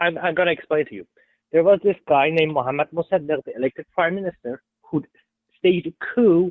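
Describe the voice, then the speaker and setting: The pace is very fast, with ordinary pitch variation. Loudness swings widely throughout. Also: man, high pitch for a man. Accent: strong Persian. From Iran. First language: Persian. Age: 20s. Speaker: caller, Trump supporter. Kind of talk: heated debate. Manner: halting.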